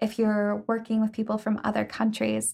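A woman speaks with an American accent in a somewhat breathy voice, recorded very cleanly against a silent background. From US Midwest (Ohio). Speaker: graduate student researcher. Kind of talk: interview. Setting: studio. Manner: frequent um fillers.

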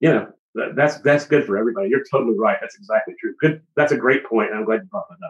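A man with an American accent talks at a very fast pace with hardly any pauses, his pitch fairly high and his intonation lively. His loudness swings widely. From US South, Georgia. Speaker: musician and studio owner. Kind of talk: casual chat.

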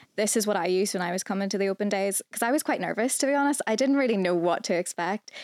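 Spoken at a very fast pace in a Northern Irish accent, this very clean recording with a silent background has ordinary pitch variation, very even loudness and a dry, close sound with no echo. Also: woman, medium pitch for a woman. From Northern Ireland. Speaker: student recruitment assistant. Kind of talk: casual chat.

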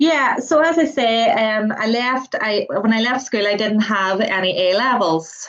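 A woman with a Northern Irish accent talks at a moderate pace. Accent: Northern Irish (Tyrone). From Northern Ireland, County Tyrone. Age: 30s. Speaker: student midwife. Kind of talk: interview.

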